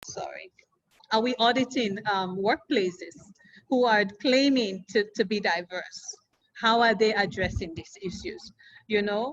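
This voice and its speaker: Speaking with an African accent, a woman uses a fairly high pitch. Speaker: community activist. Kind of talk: panel discussion. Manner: animated.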